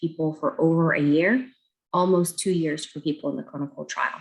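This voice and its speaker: With an unremarkable speaking voice, a woman talks at a fairly quick pace in a fairly low pitch with ordinary pitch variation. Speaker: pediatric doctor. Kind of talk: public health talk. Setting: video call.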